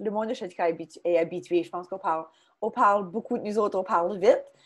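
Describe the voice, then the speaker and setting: Ordinary pitch variation from a woman speaking at a medium pitch. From Chéticamp, Cape Breton, Nova Scotia (Acadian). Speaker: social media marketing consultant, workshop presenter. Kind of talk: online workshop presentation. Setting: video call. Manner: fast; hesitant fillers.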